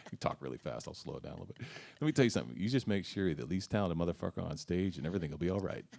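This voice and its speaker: A very deep, low male voice with vocal fry, very wide pitch swings and a very fast pace. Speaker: blues harmonica player and singer; former rower. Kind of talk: interview. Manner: hesitant, many fillers.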